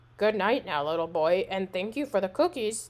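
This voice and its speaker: In a growling put-on character voice, a woman speaks at a medium pitch and moderate pace on a very clean recording with a silent background. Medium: read story. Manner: gentle, growling.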